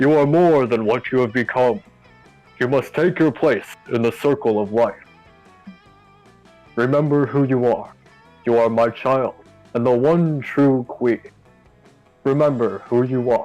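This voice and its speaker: Over faint music in the background, a man uses a booming put-on character voice at medium pitch and a moderate pace, with long, frequent pauses. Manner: imperious.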